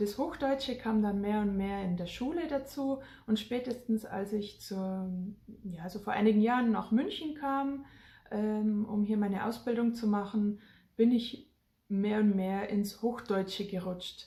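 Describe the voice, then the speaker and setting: The voice has a dark, mellow tone, is somewhat breathy, and moves at a fairly slow pace with ordinary pitch variation. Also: woman, fairly high pitch for a woman. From Germany, rural Bavaria. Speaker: family vlogger emigrating to Africa. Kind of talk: casual vlog talk.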